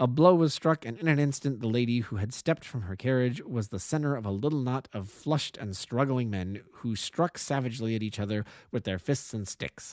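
Speaking at a fairly quick pace with hardly any pauses and ordinary pitch variation, a man has a normal speaking voice, heard dry and close with no echo in a very clean recording with a silent background. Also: medium pitch for a man. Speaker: amateur audiobook narrator. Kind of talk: audiobook narration, read aloud. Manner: measured, storytelling pace, voicing characters in dialogue.

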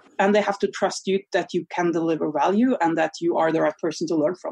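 A woman with a Norwegian accent is heard in a dry, close sound with no echo. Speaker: online business coach. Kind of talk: interview.

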